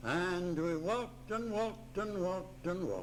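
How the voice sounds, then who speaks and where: Audible room echo surrounds a man speaking at a fairly slow pace in a high pitch. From Ireland. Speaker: retired missionary. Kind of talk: oral history storytelling. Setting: retirement home room. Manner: animated. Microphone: cassette recorder with tape crackle.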